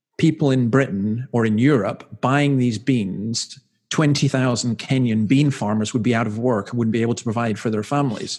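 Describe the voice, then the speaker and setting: The man speaks with a Scottish accent. His pitch is medium. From Scotland. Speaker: minister. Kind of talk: casual chat.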